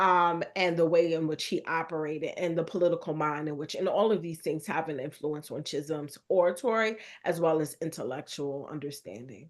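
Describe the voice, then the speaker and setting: A woman with a fairly low pitch talks at a fairly quick pace with hardly any pauses. Her pitch varies in an ordinary way, and the background is quiet. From US Northeast, Brooklyn with Jamaican family. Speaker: historian and author. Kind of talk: radio interview.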